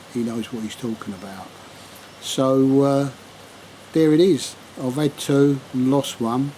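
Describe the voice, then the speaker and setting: Amid noticeable background noise, a man speaks at a fairly slow pace with long, frequent pauses, using a medium pitch and ordinary pitch variation. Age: 70s. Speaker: angling vlogger. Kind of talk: casual fishing vlog summary to camera. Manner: relaxed, conversational with fillers.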